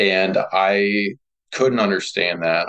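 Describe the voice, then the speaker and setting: This man speaks with a Midwestern American accent. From rural north central Kansas. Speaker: rural economic developer and brewpub owner. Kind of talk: interview.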